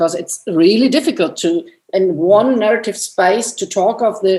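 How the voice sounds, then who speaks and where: A woman with a non-native accent speaks in a dark, mellow tone with lively intonation. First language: not English. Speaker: anthropologist and filmmaker. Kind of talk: panel discussion. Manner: halting, many repetitions and restarts.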